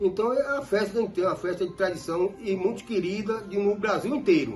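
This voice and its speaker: Over music in the background, a man talks at a fairly quick pace with high pitch and ordinary pitch variation. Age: 60s. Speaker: folk music group leader. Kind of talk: interview.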